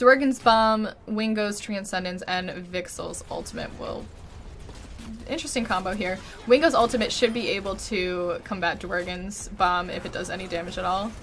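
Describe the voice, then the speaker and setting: The loudness rises and falls sharply, with music playing in the background. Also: woman, medium pitch for a woman, ordinary pitch variation, moderate pace. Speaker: Overwatch tournament caster. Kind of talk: esports match commentary, play-by-play.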